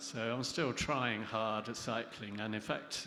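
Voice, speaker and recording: A man with a medium pitch and a bright, sharp tone talks at a fairly slow pace. His intonation is fairly even, and audible room echo surrounds him. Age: 60s. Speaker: interviewer and competitive cyclist. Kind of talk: interview on stage.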